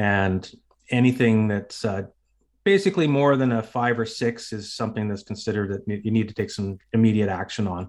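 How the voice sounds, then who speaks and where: With a Canadian accent, a man speaks in a plain, everyday voice at a fairly low pitch with fairly even intonation. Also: fairly quick pace, very clean recording, silent background. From northern British Columbia, Canada. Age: 50s. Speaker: retired police officer and cancer survivor. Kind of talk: interview.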